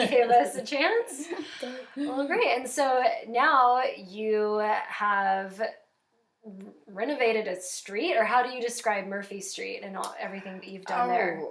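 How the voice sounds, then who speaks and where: This is a plain, everyday voice at a fairly slow pace. Its intonation is lively, and its loudness swings widely. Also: woman, fairly high pitch for a woman. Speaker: writer and birth professional. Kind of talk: interview questions.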